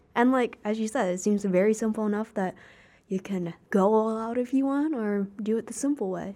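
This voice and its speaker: A woman speaks with an American accent and a dark, mellow tone. Her fairly high voice has ordinary pitch variation. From United States. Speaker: podcast host. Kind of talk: casual interview. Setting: studio.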